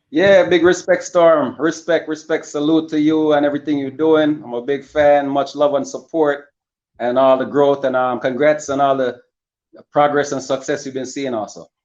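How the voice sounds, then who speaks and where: With a Jamaican accent, a man speaks at a moderate pace in a fairly high pitch and fairly even intonation. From Jamaica, Spanish Town, Saint Catherine. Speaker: rapper. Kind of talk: interview. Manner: casual, friendly.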